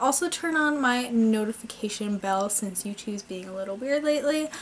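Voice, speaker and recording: Over light background noise, a woman with a high pitch speaks at a moderate pace with lively intonation. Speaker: model horse collector vlogger. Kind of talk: casual vlog chat. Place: home room. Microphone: camera far.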